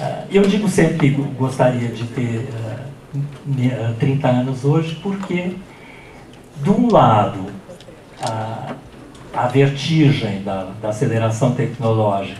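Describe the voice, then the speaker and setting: A man's medium-pitched, lively voice at a very slow pace, with long, frequent pauses, audible room echo and noticeable background noise. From Brazil. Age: 60s. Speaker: professor. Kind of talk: lecture. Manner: halting.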